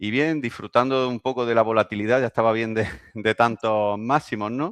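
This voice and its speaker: A man with a Spanish accent speaks at a medium pitch with fairly even intonation. The sound is dry and close with no echo, and the background is quiet. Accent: Spanish (Spain). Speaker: investing youtuber, host. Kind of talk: casual interview.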